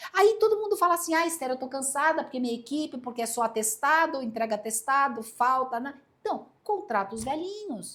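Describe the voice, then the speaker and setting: Her pitch is high and swings very widely as this woman speaks. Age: 60s. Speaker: headhunter and speaker. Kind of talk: podcast interview.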